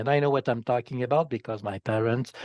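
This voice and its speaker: In a Quebec accent, a man speaks with a dark, mellow tone and fairly even intonation, the sound dry and close with no echo against a quiet background. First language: French. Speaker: politician. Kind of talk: interview. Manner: halting.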